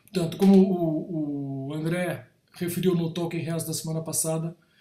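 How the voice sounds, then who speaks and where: A man's high-pitched voice with a dark, mellow tone and monotone, flat intonation. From Brazil, São Paulo. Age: 60s. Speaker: creative director / design professional. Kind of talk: talk / lecture to an audience. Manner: halting, with frequent repetitions and self-corrections.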